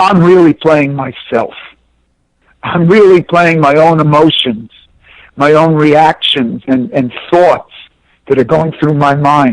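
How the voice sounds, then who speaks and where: A man with a New York accent speaks at a very slow pace and fairly high pitch, with long, frequent pauses and very even loudness. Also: ordinary pitch variation. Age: 60s. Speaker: former pro tennis player and coach. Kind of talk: interview. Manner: animated.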